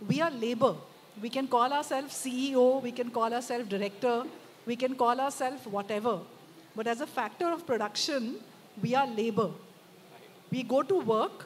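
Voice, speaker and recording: This woman's voice sits high and shows ordinary pitch variation at a moderate pace. Light background noise is audible. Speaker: speaker. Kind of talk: panel discussion answer. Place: stage. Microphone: handheld.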